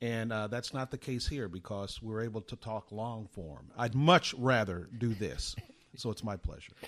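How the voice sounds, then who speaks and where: With an American accent, a plain, everyday voice speaks at a moderate pace with ordinary pitch variation. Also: man, medium pitch for a man. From US, army bases across the country and Germany. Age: 60s. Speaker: retired sportscaster. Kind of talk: interview.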